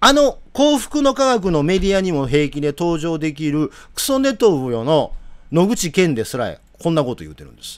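This man's voice sits high and swings very widely in pitch, with big jumps in loudness. He keeps a moderate pace against a quiet background. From Japan. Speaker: political commentator. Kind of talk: live commentary. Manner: animated. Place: home room.

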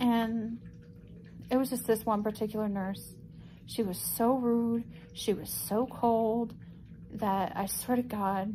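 Somewhat breathy and monotone with flat intonation, a woman speaks at a very slow pace with long, frequent pauses over light background noise. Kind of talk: casual vlog chat. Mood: upset, indignant storytelling. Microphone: phone near.

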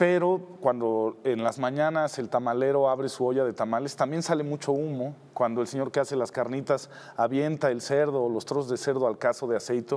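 A man's fairly high voice at a fairly quick pace, with fairly even intonation. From Mexico City. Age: 50s. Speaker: TV producer. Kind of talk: interview. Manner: hesitant, many fillers. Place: studio. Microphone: lapel.

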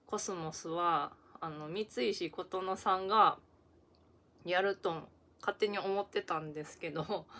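On a very clean recording with a silent background, a woman with a Kansai accent speaks at medium pitch with fairly even intonation and long, frequent pauses. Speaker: YouTuber. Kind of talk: casual vlog review. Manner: casual, halting with fillers.

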